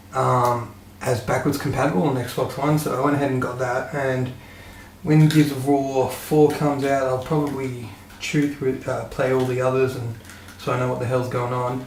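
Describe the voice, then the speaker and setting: The voice carries an Australian accent in a monotone, flat intonation, with audible room echo and noticeable background noise. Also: man, medium pitch for a man, moderate pace. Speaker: gaming youtuber. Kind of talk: casual monologue to webcam. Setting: home room, webcam. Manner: hesitant, many fillers.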